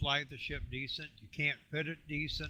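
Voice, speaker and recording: A man's bright, sharp tone with vocal fry at a fairly high pitch. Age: 60s. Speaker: gamer, alliance recruiter. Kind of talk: casual chat. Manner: hesitant with many fillers.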